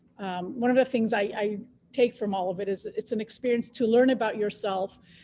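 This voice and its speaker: Her tone dark and mellow, a woman speaks at a moderate pace with a fairly high pitch and fairly even intonation. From Israel. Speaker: biotech scientist, panelist. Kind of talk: panel discussion on careers.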